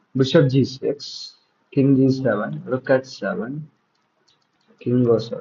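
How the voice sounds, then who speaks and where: With ordinary pitch variation, a somewhat breathy voice proceeds at a fairly slow pace. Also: man. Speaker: chess coach. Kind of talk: live puzzle solving. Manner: thinking aloud, halting.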